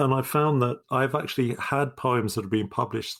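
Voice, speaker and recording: On a very clean recording with a silent background, a man talks at a fairly quick pace with ordinary pitch variation in a plain, everyday voice. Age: 60s. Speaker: poetry podcast co-host. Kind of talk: casual chat.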